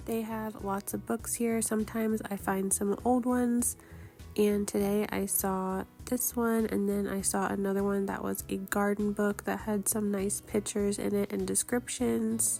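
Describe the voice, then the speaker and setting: At a moderate pace, the speaker talks with music playing in the background. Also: woman. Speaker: small online shop seller. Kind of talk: casual thrift haul voice-over.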